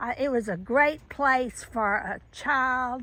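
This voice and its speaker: With a Southern US accent, a woman speaks at a fairly high pitch with ordinary pitch variation on a very clean recording with a silent background. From US South. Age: 70s. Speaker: children's author. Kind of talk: casual vlog monologue. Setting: outdoors in garden. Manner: halting, many restarts.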